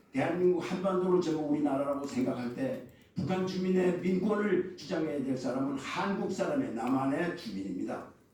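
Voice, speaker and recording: A high-pitched man with lively intonation, heard through audible room echo and noticeable background noise. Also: moderate pace, hardly any pauses. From North Korea, moved south at age six. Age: 70s. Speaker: foundation leader, forum speaker. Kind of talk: opening speech at a forum. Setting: press center conference room. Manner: halting, with self-corrections.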